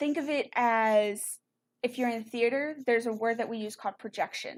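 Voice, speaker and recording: A woman with an American accent speaks in a fairly high pitch. Her pace is moderate and her intonation fairly even. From Texas. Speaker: music teacher. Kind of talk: online lesson. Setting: live stream. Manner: loud.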